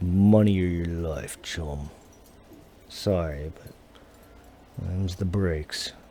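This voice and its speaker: Put-on character voice of a man, very deep and low, growling at a very slow pace with fairly even intonation. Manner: growling, menacing.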